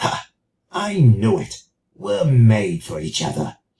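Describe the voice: A put-on character voice, low-pitched, raspy and growling, creeps along at a fairly slow pace with very wide pitch swings.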